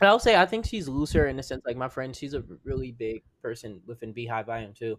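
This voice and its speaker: A man talks in a plain, everyday voice at medium pitch. His pace is fairly quick and his intonation lively. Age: 20s. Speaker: podcast co-host. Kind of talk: casual chat.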